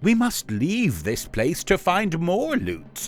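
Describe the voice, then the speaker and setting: A man's put-on character voice, high-pitched and at a very slow pace. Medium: read story.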